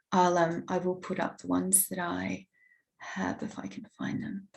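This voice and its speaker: A woman is speaking. She has an Australian accent. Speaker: academic. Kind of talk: conference talk. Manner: hesitant.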